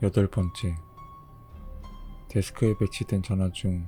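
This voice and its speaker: With music in the background, a man speaks fairly slowly in a fairly low voice with fairly even intonation. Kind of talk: horror story narration (rules-style creepy tale), read aloud to listeners.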